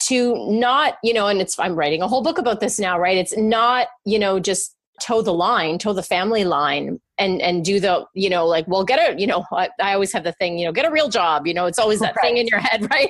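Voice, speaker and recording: A woman with an ordinary speaking voice talks at a fairly quick pace with hardly any pauses. Her medium-pitched voice has lively intonation. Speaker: podcast host and life coach. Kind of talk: conversational interview talk.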